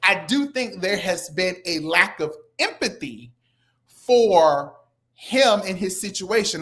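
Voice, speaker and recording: Very wide pitch swings on a very clean recording with a silent background. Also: woman. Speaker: live talk show co-host. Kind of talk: live stream commentary chat. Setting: live stream. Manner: halting, slow.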